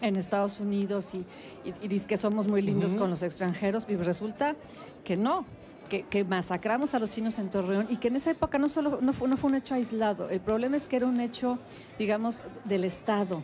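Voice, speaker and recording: A woman at a moderate pace with ordinary pitch variation, over light background noise. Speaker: interviewee. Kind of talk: interview answer. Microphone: handheld.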